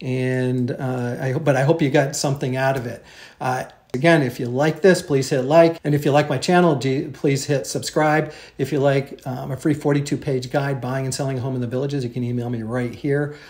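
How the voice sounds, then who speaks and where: A man's somewhat breathy, fairly high voice, fairly even in intonation, at a fairly quick pace. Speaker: real estate agent. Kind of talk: market update presentation. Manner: fast; hesitant, many fillers.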